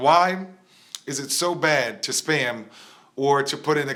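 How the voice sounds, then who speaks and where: A man's animated, bright, sharp voice at a fairly high pitch, with ordinary pitch variation. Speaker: rap coach. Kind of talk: live stream talk.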